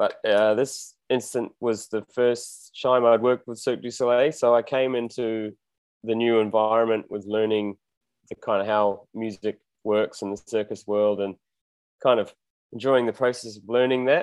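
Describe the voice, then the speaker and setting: With a New Zealand accent, a man talks at a moderate pace and medium pitch in a monotone, flat intonation, the sound dry and close with no echo. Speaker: musician. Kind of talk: casual interview.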